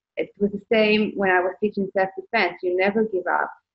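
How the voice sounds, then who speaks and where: A woman's medium-pitched voice holds a monotone, flat intonation. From Israel. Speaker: life coach. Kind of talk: interview.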